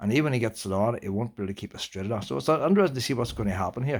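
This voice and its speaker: A man's voice at medium pitch. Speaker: factory worker and YouTuber. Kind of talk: casual vlog monologue. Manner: fast.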